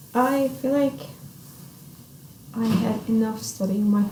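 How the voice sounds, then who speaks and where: With an Arabic accent, a woman talks at a moderate pace and a fairly high pitch with ordinary pitch variation, amid audible room echo and noticeable background noise. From Saudi Arabia. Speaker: international college student. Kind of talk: interview. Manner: halting.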